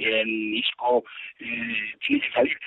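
A man is speaking. His pitch swings very widely. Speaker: football pundit. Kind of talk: casual chat.

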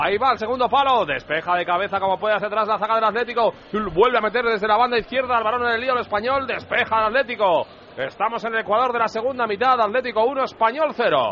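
At a very fast pace, a man talks in a high voice with ordinary pitch variation against noticeable background noise. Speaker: football reporter. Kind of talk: live commentary. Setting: stadium.

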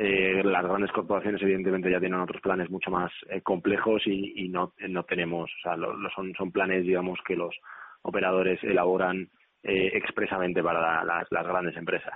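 The man's very deep, low voice holds a flat, monotone intonation throughout. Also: moderate pace. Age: 30s. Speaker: entrepreneur. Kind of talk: radio interview. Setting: phone call.

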